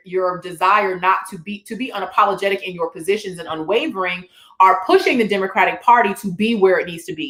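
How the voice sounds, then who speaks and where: A woman talks at a moderate pace in an animated tone. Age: 40s. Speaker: talk show host. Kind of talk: panel discussion.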